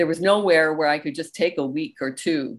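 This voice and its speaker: A woman speaks with a plain, everyday voice, fairly low in pitch. Her intonation is lively. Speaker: recovery podcast host. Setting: video call.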